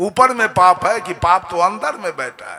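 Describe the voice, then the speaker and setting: In a raised, projected voice, a man speaks at a high pitch with ordinary pitch variation. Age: 60s. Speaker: religious preacher. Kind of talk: sermon. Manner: animated.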